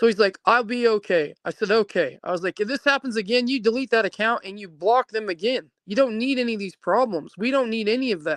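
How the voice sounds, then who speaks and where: Speaking at a very fast pace with hardly any pauses, a woman uses a fairly high pitch with ordinary pitch variation. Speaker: mother of a missing person. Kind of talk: interview. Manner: emotional, halting.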